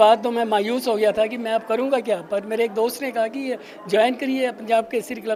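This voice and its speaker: Over noticeable background noise, the speaker talks at a moderate pace with fairly even intonation. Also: man. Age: 80s+. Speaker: retired senior club member. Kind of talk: interview.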